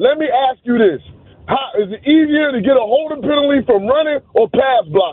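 With an extremely high pitch, a man talks at a moderate pace in an animated tone with lively intonation. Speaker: caller. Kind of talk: heated sports talk call. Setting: phone call. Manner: animated, emphatic.

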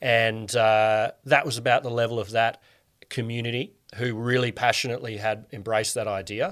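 A man speaks at a moderate pace with an Australian accent and a medium pitch. His intonation is fairly even, and the recording is very clean with a silent background. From Australia (Canberra). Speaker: communications expert and author. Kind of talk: interview. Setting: in person. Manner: hesitant, many fillers.

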